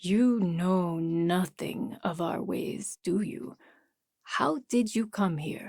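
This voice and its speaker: A put-on character voice, female-sounding and at a middle pitch, moves at a very slow pace. The recording is very clean, with a silent background. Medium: read story. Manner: formal, measured speech without contractions.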